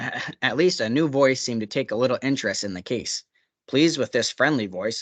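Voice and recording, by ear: With the background quiet, the text is read aloud in a natural voice.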